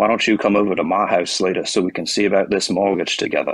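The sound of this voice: A man puts on a character voice in a Southern accent, raspy and fairly low. He talks very fast. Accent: older regional Southern.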